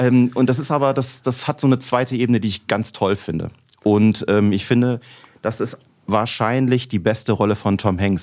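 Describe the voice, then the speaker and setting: At a moderate pace, a man speaks with ordinary pitch variation, a normal speaking voice. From Rhineland, Germany. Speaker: musician. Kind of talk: casual chat.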